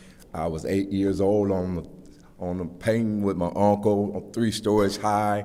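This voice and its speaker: A man with a fairly low pitch and a dark, mellow tone speaks in an American accent at a fairly slow pace. His intonation is monotone and flat, and audible room echo surrounds him. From Flint, Michigan. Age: 70s. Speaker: public commenter at council meeting. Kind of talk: public comment speech. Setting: city council meeting.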